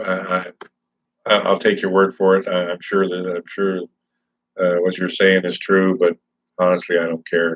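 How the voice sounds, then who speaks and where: This man's very deep, low voice stays monotone and flat at a moderate pace, broken by long, frequent pauses. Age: 60s. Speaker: vlogger. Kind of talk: casual livestream chat. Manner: halting.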